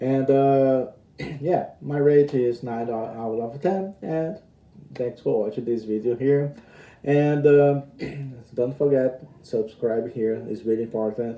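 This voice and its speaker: At a very slow pace, a man speaks in a medium-pitched, dark and mellow tone with ordinary pitch variation. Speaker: anime reviewer. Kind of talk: casual video review. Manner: hesitant, many fillers.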